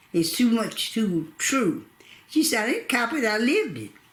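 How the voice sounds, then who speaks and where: High-pitched woman's voice with very wide pitch swings over noticeable background noise. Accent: American. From North Carolina, USA. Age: 80s+. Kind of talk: oral history interview answer.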